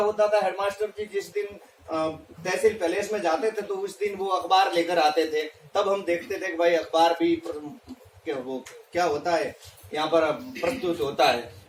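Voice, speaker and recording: At a moderate pace, a man speaks in a Rajasthani accent with ordinary pitch variation, over noticeable background noise. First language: Marwari (speaking Hindi). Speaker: teacher. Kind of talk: presentation. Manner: halting, many fillers.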